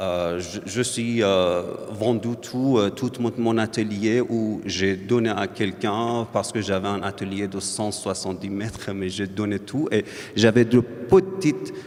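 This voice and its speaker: Against noticeable background noise, a man with a non-native accent and a fairly low pitch speaks very slowly with fairly even intonation. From Iran. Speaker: visual artist, painter. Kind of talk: public talk at book presentation. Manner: halting, many hesitations.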